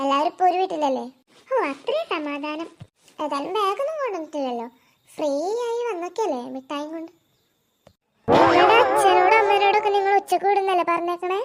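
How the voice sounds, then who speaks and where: Over music in the background, a squeaky, cartoonish character voice sits at an extremely high pitch. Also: moderate pace. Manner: chatty, rambling.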